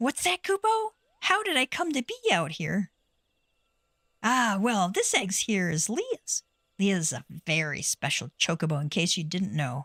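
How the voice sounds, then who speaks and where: A squeaky put-on character voice at a moderate pace, broken by long, frequent pauses. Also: female-sounding voice, medium pitch for a woman. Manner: cute, chatty.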